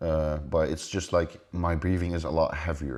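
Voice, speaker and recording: In a quiet background, a man's very deep, low voice comes through with a dark, mellow tone. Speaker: bodybuilder and online coach. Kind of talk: casual reaction commentary. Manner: heavy breathing; animated.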